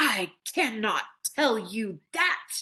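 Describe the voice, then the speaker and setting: A woman's put-on character voice, fairly high-pitched, with very wide pitch swings. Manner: authoritative.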